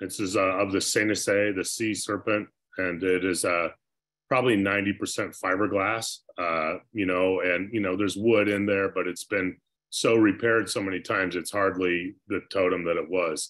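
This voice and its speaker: A man with an American accent, fairly low in pitch, at a fairly slow pace with monotone, flat intonation, against a quiet background. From US Pacific Northwest. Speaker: glass artist; guest. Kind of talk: presentation. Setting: video call. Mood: thoughtful, reflective. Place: home room. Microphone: video call.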